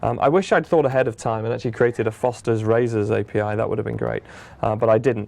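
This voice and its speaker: A man with a British accent over a quiet background. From Britain. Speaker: software product manager. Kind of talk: tutorial. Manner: casual, conversational.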